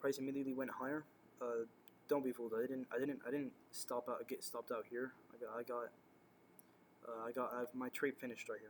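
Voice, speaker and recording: A man talks very fast in a flat monotone at a medium pitch, with long, frequent pauses. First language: not English. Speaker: day trader. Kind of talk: trade recap tutorial. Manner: halting, many fillers.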